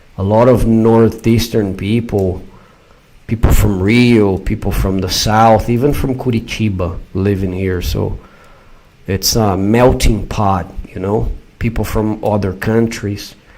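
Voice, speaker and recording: A man with a São Paulo accent, fairly low in pitch, at a fairly slow pace with fairly even intonation over noticeable background noise. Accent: São Paulo Brazilian Portuguese. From Brazil, São Paulo. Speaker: YouTuber. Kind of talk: live stream chat answering viewers. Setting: live stream.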